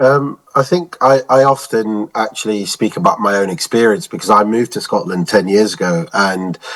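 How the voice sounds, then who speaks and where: With a southeast English accent, a man of medium pitch talks at a moderate pace with lively intonation and hardly any pauses. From southeast England. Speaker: university international staff. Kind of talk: podcast interview.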